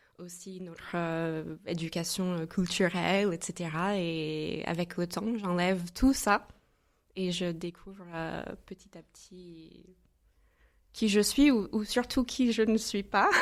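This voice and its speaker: A woman talks at a very slow pace in a fairly low voice with ordinary pitch variation. Her loudness swings widely. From US Midwest, St. Louis, Missouri. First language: English (speaking French). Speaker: entrepreneur. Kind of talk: podcast interview.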